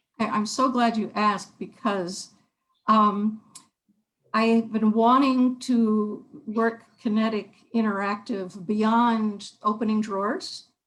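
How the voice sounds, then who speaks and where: Somewhat breathy and fairly high in pitch, a woman speaks very slowly with fairly even intonation. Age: 70s. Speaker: artist. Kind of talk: artist talk. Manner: halting.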